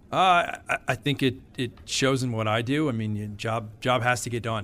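At a moderate pace, a man talks in a plain, everyday voice with fairly even intonation. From Connecticut, US. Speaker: accounting firm partner. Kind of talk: interview.

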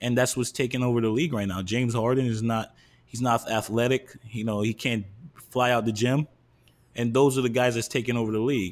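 The speaker has a New York accent and fairly even intonation. The pace is fairly quick. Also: man, medium pitch for a man. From New York City. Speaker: podcast host. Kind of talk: casual chat.

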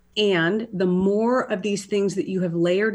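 Over a quiet background, a woman talks at a medium pitch with ordinary pitch variation. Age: 50s. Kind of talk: casual chat.

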